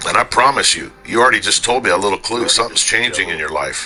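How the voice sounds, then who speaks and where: A man speaks very fast while music plays in the background. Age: 60s. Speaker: gamer. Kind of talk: casual talk in online game voice chat. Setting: online game voice chat. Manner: blunt, profane.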